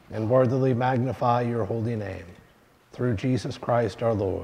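A man talks at a moderate pace. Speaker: pastor leading worship. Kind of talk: liturgy. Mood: solemn, measured. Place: church.

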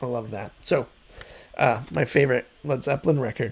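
The man's voice sits fairly high. He talks at a moderate pace. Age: 50s. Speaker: music YouTuber. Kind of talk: casual monologue. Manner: hesitant, many fillers. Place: home room. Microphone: studio mic.

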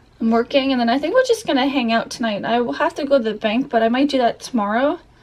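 The voice has a relaxed tone, with noticeable background noise around it. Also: woman. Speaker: vlogger. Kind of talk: casual vlog talk to camera. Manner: relaxed, chatty.

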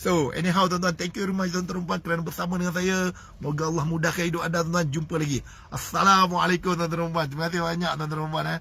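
A man's high-pitched, bright and sharp voice, animated and very fast, in a dry sound with no echo. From Malaysia. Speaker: motivational speaker and business coach; motivational speaker, business coach. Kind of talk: live-stream motivational talk. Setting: Facebook live stream. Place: car. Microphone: phone near.

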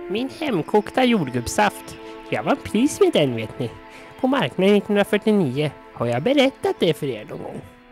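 With clear music in the background, a cartoonish character voice at a middle pitch makes very wide pitch swings. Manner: chatty, nostalgic, rambling.

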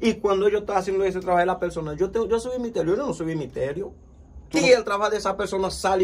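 A man's high-pitched voice at a very fast pace. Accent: Haitian. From Haiti. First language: Haitian Creole (speaking Spanish). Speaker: vodou priest. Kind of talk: interview. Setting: his spiritual center, at night. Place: home room. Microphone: phone near.

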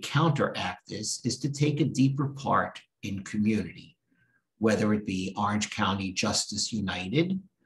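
A man with a fairly low pitch talks in a somewhat breathy voice. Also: quiet background. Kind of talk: sermon. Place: office. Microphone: webcam.

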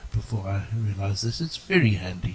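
The voice is somewhat breathy, with a South African accent. It moves at a moderate pace. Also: man. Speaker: game tutorial narrator. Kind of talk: casual game tutorial narration.

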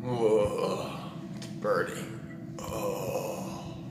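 Audible room echo and clear background noise surround a man speaking at a very slow pace in a fairly low pitch with fairly even intonation.

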